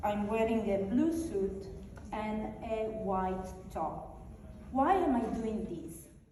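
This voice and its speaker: In a strong Italian accent, a woman with a fairly high voice speaks at a very slow pace with lively intonation, amid audible room echo and noticeable background noise. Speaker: conference speaker. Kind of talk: conference presentation.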